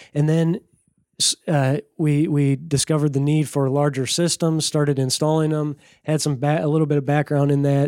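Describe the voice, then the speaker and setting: A man's fairly high-pitched voice with an American accent, dark and mellow in tone, monotone and flat, at a moderate pace and very even loudness, in a dry, close sound with no echo. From rural Minnesota. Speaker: rainwater harvesting business owner. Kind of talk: casual interview.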